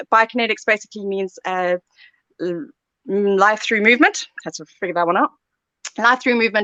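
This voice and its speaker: Speaking at a fairly quick pace with a South African accent, this voice shows big swings in loudness, ordinary pitch variation, and long, frequent pauses. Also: woman, fairly high pitch for a woman. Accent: South African, noticeable. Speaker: sports therapy lecturer. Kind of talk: live Q&A.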